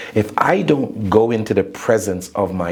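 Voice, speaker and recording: Noticeable background noise behind a man with a medium pitch. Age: 60s. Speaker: inspirational speaker and author. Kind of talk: interview.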